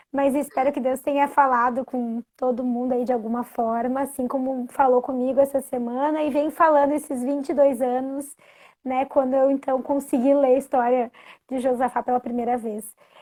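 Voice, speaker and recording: A dark, mellow tone with monotone, flat intonation at a moderate pace. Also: woman, high pitch for a woman. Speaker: guest bible storyteller. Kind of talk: casual live-stream chat. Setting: Instagram live.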